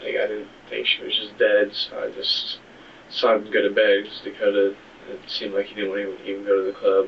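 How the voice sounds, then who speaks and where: A soft-spoken man talks at a fairly quick pace over noticeable background noise. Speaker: murder suspect. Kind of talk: police interrogation. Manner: halting.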